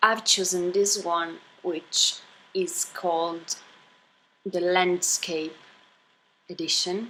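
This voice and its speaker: A woman with a non-native accent, medium-pitched and bright and sharp in tone, at a very slow pace with long, frequent pauses and fairly even intonation. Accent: noticeable non-native. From Italy. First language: Italian. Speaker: YouTuber. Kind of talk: unboxing haul video. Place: home room. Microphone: phone near.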